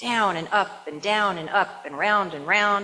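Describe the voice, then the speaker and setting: Background noise is clearly noticeable. Through it, a woman talks. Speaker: minister. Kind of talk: sermon to a congregation. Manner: warm, joyful, enthusiastic.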